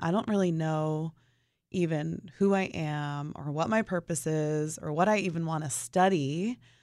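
A woman has a normal speaking voice, fairly low in pitch, with ordinary pitch variation. The recording is very clean, with a silent background. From New Jersey suburbs. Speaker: author and children's home founder. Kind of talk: interview. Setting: studio.

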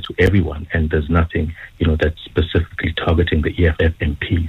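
A man talks at a very fast pace in a very deep, low, somewhat breathy voice. His intonation stays monotone and flat. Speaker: news reporter. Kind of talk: radio interview. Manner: many fillers.

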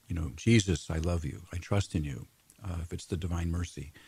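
A man speaks at a very deep, low pitch. His tone is dark, mellow and somewhat breathy. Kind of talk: radio interview.

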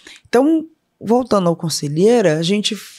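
A woman is talking at a fairly slow pace. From Salvador, Bahia, Brazil. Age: 50s. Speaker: corporate board member and co-founder. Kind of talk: interview conversation.

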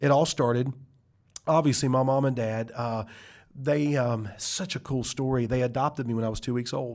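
Speaking with a Southern US accent, a man talks at a medium pitch and a moderate pace with fairly even intonation, on a very clean recording with a silent background. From US South, South Carolina. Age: 40s. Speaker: pastor and author. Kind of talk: interview, testimony. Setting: studio.

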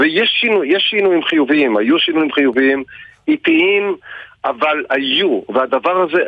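A man with a plain, everyday voice talks at a moderate pace, his intonation lively. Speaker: nonprofit executive. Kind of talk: radio interview.

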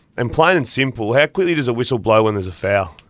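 Speaking very fast with lively intonation, a man with an Australian accent comes through in a very clean recording with a silent background. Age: 30s. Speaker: former footballer, football pundit. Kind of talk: casual chat.

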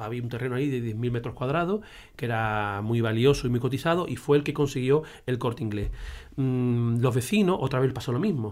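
A plain, everyday voice from a man at medium pitch, ordinary pitch variation and a fairly quick pace, on a very clean recording with a silent background. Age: 50s. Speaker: teacher and local historian. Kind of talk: casual conversation.

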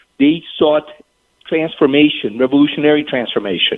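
A man talks with a non-native accent. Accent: noticeable foreign. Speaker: think tank analyst. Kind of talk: talk radio interview. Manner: measured, reasoned.

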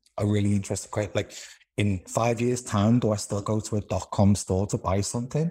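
Somewhat breathy, a man talks at a fairly quick pace in a fairly low pitch, with a dark, mellow tone and ordinary pitch variation. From Liverpool, England. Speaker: company CEO. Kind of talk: casual interview. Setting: remote interview.

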